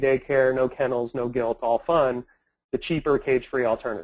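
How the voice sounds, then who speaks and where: Here a man has an unremarkable speaking voice, medium in pitch, with fairly even intonation. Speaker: entrepreneur presenting webinar. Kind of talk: webinar presentation.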